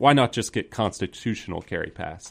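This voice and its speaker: A man talks in a Southern US accent. The recording is very clean, with a silent background. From US South (Georgia, north of Atlanta). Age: 20s. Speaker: gun rights student activist. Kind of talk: radio interview.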